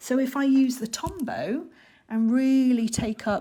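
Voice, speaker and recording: A woman with an English accent, dark and mellow in tone, somewhat breathy, at a very slow pace. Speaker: art teacher. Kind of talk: live online workshop tutorial. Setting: livestream.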